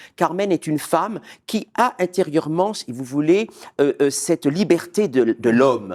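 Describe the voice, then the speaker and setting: In a very clean recording with a silent background and a dry, close sound with no echo, a man with a fairly high pitch talks at a fairly slow pace with lively intonation. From Martinique. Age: 40s. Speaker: opera singer. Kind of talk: interview. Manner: hesitant.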